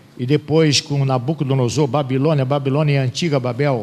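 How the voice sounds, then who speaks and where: A man with an unremarkable speaking voice and a fairly high pitch talks at a moderate pace with ordinary pitch variation. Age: 60s. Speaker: Bible teacher. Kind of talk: lecture. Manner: conversational.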